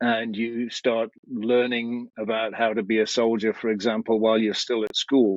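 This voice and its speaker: A man speaks at a medium pitch with an English accent. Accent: English (Pommy). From England (UK). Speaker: military and security trainer. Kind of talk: podcast interview.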